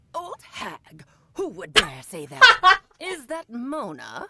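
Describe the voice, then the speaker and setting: A man uses a put-on character voice at an extremely high pitch, talking at a very slow pace. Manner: indignant.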